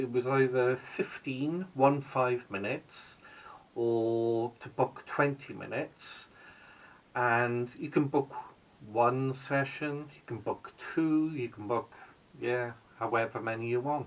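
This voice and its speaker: Loudness swings widely at a very slow pace, in a Welsh accent. Intonation stays fairly even. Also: man. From Wales. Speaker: vlogger. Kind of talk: casual vlog narration. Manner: hesitant, with fillers.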